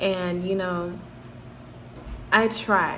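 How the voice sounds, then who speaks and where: A woman with an American accent speaks at a fairly low pitch. Audible room echo and noticeable background noise surround her. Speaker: YouTuber. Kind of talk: personal vlog. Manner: halting, stuttering.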